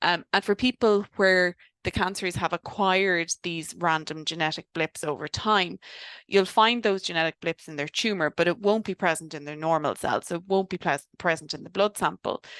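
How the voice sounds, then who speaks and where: A moderate pace in an Irish accent. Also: woman, fairly low pitch for a woman, ordinary pitch variation, dry, close sound with no echo. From Ireland. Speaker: doctor specialising in cancer genetics. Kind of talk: webinar lecture. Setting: online webinar. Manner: casual, many fillers.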